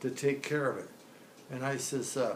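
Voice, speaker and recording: Recorded with noticeable background noise and audible room echo, a man with an American accent talks at a moderate pace and a fairly high pitch. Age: 90s. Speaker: centenarian telling life story. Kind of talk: life story interview. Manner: halting.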